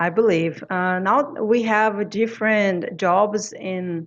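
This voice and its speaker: She talks with a French accent. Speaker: English and Spanish teacher. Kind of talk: interview. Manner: halting, with frequent fillers.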